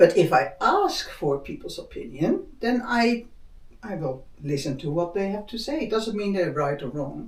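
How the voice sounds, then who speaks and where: Speech comes at a moderate pace over noticeable background noise. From Netherlands. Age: 60s. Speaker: spiritual talk host. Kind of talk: casual chat.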